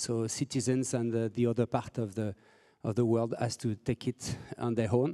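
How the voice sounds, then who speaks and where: In a French accent, a man speaks at a moderate pace and medium pitch, his dark, mellow tone flat and monotone, in a dry, close sound with no echo. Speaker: civic tech founder and moderator. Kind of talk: conference presentation. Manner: halting, many fillers and repetitions.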